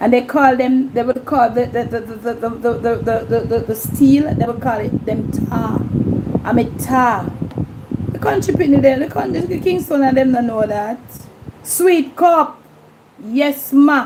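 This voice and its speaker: Over noticeable background noise, a woman speaks at a fairly slow pace in a high pitch with ordinary pitch variation. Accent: Jamaican. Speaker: YouTube livestream host. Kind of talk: casual livestream chat.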